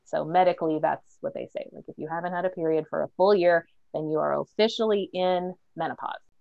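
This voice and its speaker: A woman in a plain, everyday voice, fairly low in pitch, with ordinary pitch variation at a moderate pace. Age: 40s. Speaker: podcast host. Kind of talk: casual chat.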